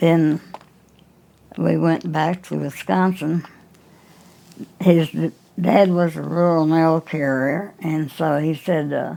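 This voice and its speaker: A woman's very deep, low voice with a dark, mellow tone, fairly even intonation, a very slow pace and long, frequent pauses. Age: 80s+. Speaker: aviation pioneer. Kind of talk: interview answer. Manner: hesitant, conversational.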